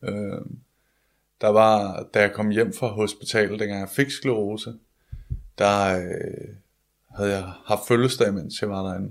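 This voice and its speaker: Speaking at a very slow pace, a man with a fairly low pitch leaves long, frequent pauses. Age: 20s. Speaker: comedian. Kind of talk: interview about illness.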